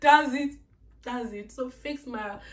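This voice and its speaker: Animated in tone, a woman with a Nigerian accent speaks against noticeable background noise. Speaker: YouTuber. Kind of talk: casual vlog monologue.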